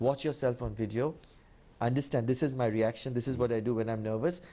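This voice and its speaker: A man with an Indian accent speaks at a fairly quick pace in a medium pitch, his tone dark and mellow against a quiet background. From India (Kolkata). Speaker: public speaking champion. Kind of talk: TV interview. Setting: TV studio. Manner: fast when nervous; clearly articulated.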